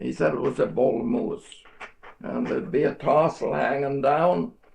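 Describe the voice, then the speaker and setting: A man speaks at a fairly slow pace while noticeable background noise plays behind him. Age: 80s+. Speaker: elderly relative. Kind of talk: casual chat. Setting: family home. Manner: halting.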